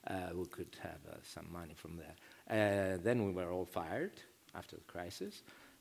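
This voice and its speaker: With a Greek accent, a man talks at a moderate pace in a very deep, low pitch, keeping fairly even intonation while his loudness swings widely. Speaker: novelist. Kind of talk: panel discussion. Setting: stage with audience. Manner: halting.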